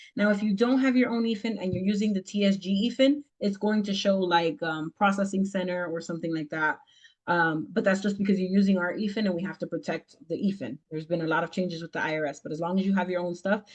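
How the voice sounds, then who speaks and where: A woman with a medium pitch talks very fast with hardly any pauses. Her voice is somewhat breathy, with ordinary pitch variation. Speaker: business mentor teaching a tax class. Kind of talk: online class with Q&A.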